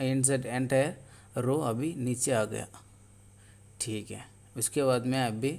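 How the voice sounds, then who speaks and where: A man with a Tamil accent talks at a medium pitch. He leaves long, frequent pauses. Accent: Tamil-accented Hindi. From Tamil Nadu, India. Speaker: tech tutorial youtuber. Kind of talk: tutorial. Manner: halting.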